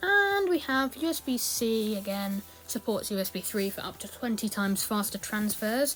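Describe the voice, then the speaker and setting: Music plays in the background. A woman speaks with a fairly high pitch. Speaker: tech youtuber. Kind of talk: product review walkthrough. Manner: hesitant with fillers.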